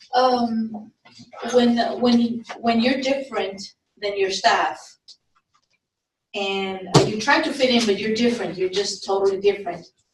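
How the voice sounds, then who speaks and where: A woman speaks at a fairly high pitch and fairly slow pace, leaving long, frequent pauses, with ordinary pitch variation and audible room echo. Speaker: trainee employee. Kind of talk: audience question. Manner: halting; loud.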